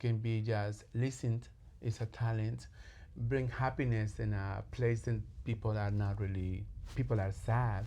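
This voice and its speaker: A man with a strong Latin American accent speaks at a fairly slow pace, fairly low in pitch, with a dark, mellow tone and a somewhat breathy quality. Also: ordinary pitch variation, very even loudness. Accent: heavy Latin. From Colombia. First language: Spanish. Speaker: clinical social worker. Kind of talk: podcast interview. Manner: halting.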